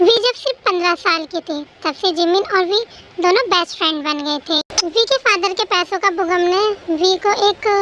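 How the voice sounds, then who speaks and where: A woman speaks at an extremely high pitch and a moderate pace. She hardly pauses at all. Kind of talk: fan story narration. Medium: read story. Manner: calm, explanatory.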